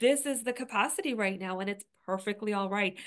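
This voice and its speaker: A woman in an ordinary speaking voice at medium pitch, ordinary pitch variation, quiet background. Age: 40s. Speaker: astrologer and podcast co-host. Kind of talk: casual chat.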